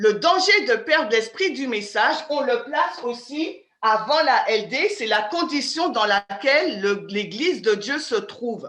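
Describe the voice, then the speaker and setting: Very slowly, a woman speaks in a high voice whose pitch swings very widely. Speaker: Bible study teacher. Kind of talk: interactive Bible study lecture. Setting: video call.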